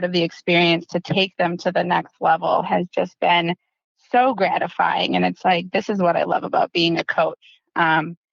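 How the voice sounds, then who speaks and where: The speaker has a slight Wisconsin accent. The pace is moderate. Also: woman. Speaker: dental practice consultant. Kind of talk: podcast interview. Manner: animated.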